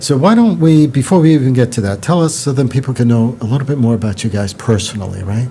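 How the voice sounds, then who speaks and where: A man with a New York accent talks at a very fast pace, with hardly any pauses. Noticeable background noise runs underneath. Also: medium pitch for a man, ordinary pitch variation. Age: 60s. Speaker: podcast host. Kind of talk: interview.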